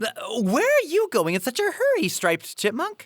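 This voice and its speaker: High pitch and moderate pace in a put-on character voice. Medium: audio drama.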